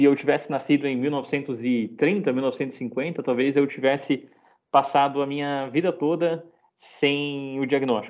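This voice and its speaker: This man's voice sits at a fairly high pitch. His pace is moderate. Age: 20s. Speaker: psychologist. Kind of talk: lecture. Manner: halting.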